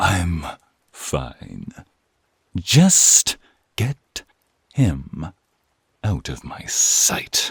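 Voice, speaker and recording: A man's gruff, very deep, low put-on character voice at a very slow pace, with long, frequent pauses. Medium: audio drama.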